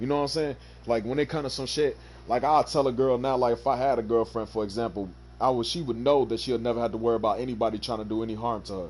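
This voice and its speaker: A man's very fast talk in an American accent, medium in pitch with fairly even intonation. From Chicago, US Midwest. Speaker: gaming streamer. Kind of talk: casual chat.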